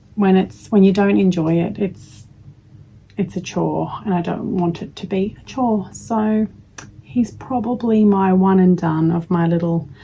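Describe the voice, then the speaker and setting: Somewhat breathy and dark, mellow in tone, a woman speaks at a fairly slow pace with medium pitch and ordinary pitch variation. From Australia. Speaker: crochet vlogger. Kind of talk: casual chat.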